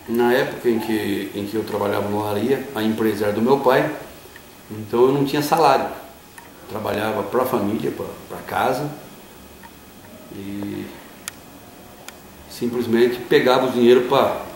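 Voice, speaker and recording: With audible room echo and noticeable background noise, a man talks at a moderate pace with fairly even intonation, big swings in loudness, and long, frequent pauses. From interior of São Paulo state, Brazil (Itapetininga area). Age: 50s. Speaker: interviewee sharing life story. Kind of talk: interview. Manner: hesitant, with fillers.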